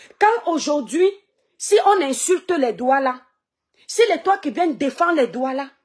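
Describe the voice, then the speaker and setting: Her pitch swings very widely. The woman speaks at a fairly slow pace over a quiet background. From Cameroon, Kribi/Douala; Cameroon. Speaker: social media live streamer and online seller; social commentator. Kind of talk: live stream monologue. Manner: animated. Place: home room. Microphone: phone near.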